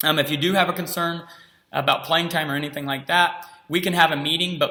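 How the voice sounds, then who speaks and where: Loud and fairly quick, a man talks with monotone, flat intonation. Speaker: middle school basketball coach and PE teacher. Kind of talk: recorded informational talk to parents. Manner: unscripted with frequent ums.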